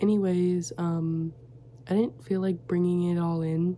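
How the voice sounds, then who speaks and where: Quiet and somewhat breathy, a woman speaks with ordinary pitch variation. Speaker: crochet small business owner and vlogger. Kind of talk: casual vlog chat. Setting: home studio, late at night. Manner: quiet, hushed; chatty, many fillers.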